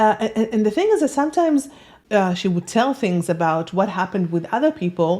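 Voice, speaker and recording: A woman's dark, mellow voice with a non-native accent and very wide pitch swings. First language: not English. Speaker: self-help author and video host. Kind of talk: personal talk to camera. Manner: halting, many fillers.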